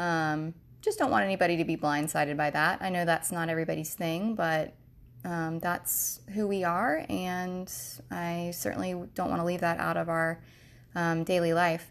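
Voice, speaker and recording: A woman with an American accent speaks at a moderate pace in a fairly low voice. Her pitch varies in an ordinary way on a very clean recording with a silent background. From US South, Jacksonville, Florida. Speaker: podcast host, mother. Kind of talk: casual monologue. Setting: home, at computer.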